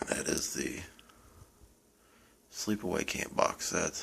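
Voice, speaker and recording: A man is whispering. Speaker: horror film collector, first-time YouTuber. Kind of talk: casual show-and-tell monologue. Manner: quiet, low-volume; hesitant, self-repeating.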